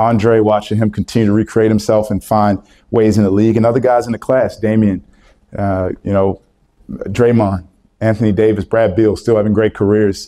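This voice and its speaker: Against a quiet background, a man with an American accent talks at a moderate pace in a fairly low pitch, his tone dark and mellow and his loudness very even. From Maryland, US. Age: 30s. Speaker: college basketball coach; basketball coach, guest. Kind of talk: speech with audience Q&A. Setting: stage with audience. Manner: animated. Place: meeting room. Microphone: handheld.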